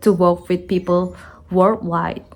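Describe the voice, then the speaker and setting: A woman's voice at medium pitch with a non-native accent. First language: not English. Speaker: content creator. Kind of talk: personal story monologue.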